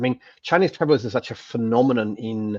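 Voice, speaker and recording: Dry and close with no echo, a man with an English accent talks at a fairly quick pace, medium in pitch, with ordinary pitch variation. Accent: English accent, less polished than in videos. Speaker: panelist on social media marketing. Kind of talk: webinar panel discussion. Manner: halting, many repetitions.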